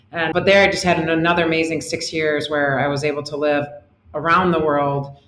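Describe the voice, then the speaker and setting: A woman with an American accent is heard over noticeable background noise in audible room echo. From US Midwest, Detroit suburbs, Michigan. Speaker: company CEO. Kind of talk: interview. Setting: remote call.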